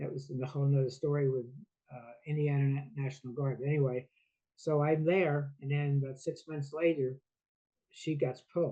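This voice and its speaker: A man with a fairly high pitch talks at a moderate pace in a monotone, flat intonation. He sounds somewhat breathy and leaves long, frequent pauses. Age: 70s. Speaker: founder of a veterans talk show. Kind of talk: interview, personal story. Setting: video podcast interview. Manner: halting, with hesitations.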